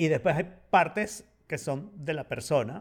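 A man with an unremarkable speaking voice, lively intonation and a fairly slow pace, on a very clean recording with a silent background. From Venezuela, partly raised in Spain. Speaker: podcast co-host. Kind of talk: casual chat.

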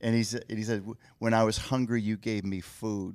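A man with an American accent speaks in a normal speaking voice, his intonation fairly even, on a very clean recording with a silent background. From Michigan. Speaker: pro-life ministry leader. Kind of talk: interview testimony.

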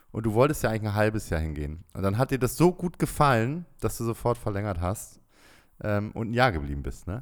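On a very clean recording with a silent background, a man with a fairly low pitch talks at a fairly quick pace with very wide pitch swings. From Bremen, northern Germany. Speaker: podcast co-host, expat father. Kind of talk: casual chat.

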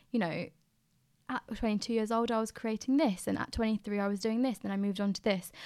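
Over a silent background on a very clean recording, a woman speaks in an ordinary speaking voice with fairly even intonation. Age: 20s. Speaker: recent architecture graduate. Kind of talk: casual chat.

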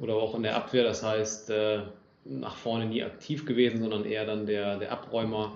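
Over noticeable background noise and audible room echo, a man talks at a medium pitch. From northwest Germany, Lower Saxony (Oldenburg area). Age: 20s. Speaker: amateur football club official. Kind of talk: casual interview.

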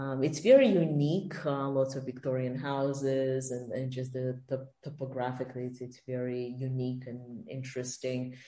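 A woman in a Russian accent, very deep and low in pitch, with fairly even intonation, a moderate pace, big swings in loudness and audible room echo. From Russia (St. Petersburg), then Israel and Canada. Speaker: podcast guest. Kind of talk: casual interview.

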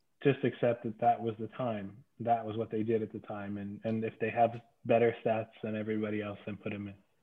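In an American accent, a man talks fairly quickly at a medium pitch with monotone, flat intonation. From Pennsylvania. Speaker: podcast co-host, lawyer. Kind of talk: casual chat.

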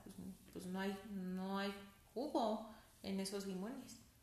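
Audible room echo around the somewhat breathy voice of a woman. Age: 30s. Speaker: pastor's daughter and psychologist. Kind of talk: casual chat.

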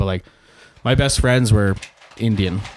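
This man has an ordinary speaking voice, with medium pitch and ordinary pitch variation. He speaks at a fairly quick pace with a Canadian accent. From Saskatchewan, Canada. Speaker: pharmacist in training. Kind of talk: casual chat.

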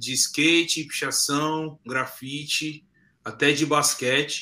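The tone is bright and sharp, with fairly even intonation. The pace is very slow. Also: man. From São Paulo, Zona Leste (Cidade Tiradentes). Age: 30s. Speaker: graffiti artist. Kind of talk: interview.

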